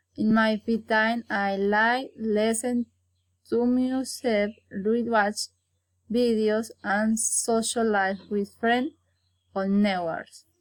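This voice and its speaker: A woman with a Colombian accent talks at a very slow pace. Her pitch is fairly high and her intonation fairly even. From Colombia, Santander. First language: Spanish. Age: 20s. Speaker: university student. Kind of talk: prepared self-introduction for English class. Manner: halting.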